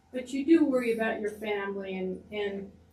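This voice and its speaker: Very slowly, the words come through room echo and clear background noise. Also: woman. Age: 80s+. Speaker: audience member. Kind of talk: testimony.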